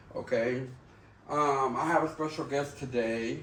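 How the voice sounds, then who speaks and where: A man with a medium pitch talks at a moderate pace, his pitch varying in an ordinary way while background noise stays noticeable. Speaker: podcast host. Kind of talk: casual podcast conversation.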